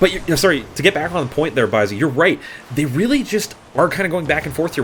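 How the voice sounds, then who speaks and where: With noticeable background noise behind him, a man with a Canadian accent sounds animated, his pitch swinging very widely. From Canada. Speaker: esports caster. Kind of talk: live commentary. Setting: live stream.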